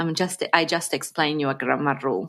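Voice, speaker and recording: A woman with an Italian accent on a very clean recording with a silent background. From Piedmont, northern Italy. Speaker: Italian language teacher. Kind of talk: interview.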